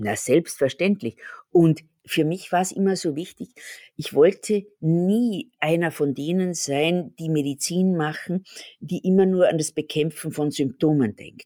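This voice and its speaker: Fairly low in pitch with ordinary pitch variation, a woman talks at a fairly slow pace with big swings in loudness, in a dry, close sound with no echo. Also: very clean recording, silent background. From Austria. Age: 60s. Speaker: pharmacist and company owner. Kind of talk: interview.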